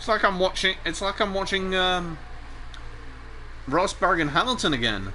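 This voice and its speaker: Projecting a raised voice, a high-pitched man speaks at a moderate pace with ordinary pitch variation and long, frequent pauses. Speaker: sim racing commentator. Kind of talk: live commentary. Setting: live stream. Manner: animated.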